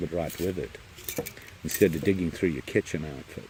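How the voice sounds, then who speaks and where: Mumbling over noticeable background noise. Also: man. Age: old. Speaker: camping vlogger. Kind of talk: casual vlog. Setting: outdoors, campsite in rain.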